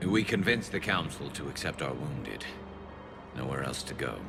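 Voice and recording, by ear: A man's put-on character voice, extremely low-pitched with vocal fry and lively intonation at a moderate pace, over clear background music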